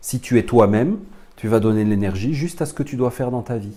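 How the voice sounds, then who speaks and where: A man with a dark, mellow tone and a somewhat breathy quality talks at a medium pitch with lively intonation. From France. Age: 40s. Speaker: spiritual teacher. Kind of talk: lecture.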